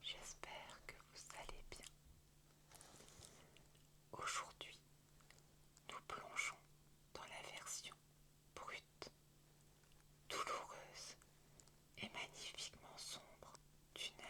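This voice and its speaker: A woman whispers very slowly, her words broken by long, frequent pauses. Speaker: ASMR creator. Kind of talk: whispered bedtime story reading. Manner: whispered, soft.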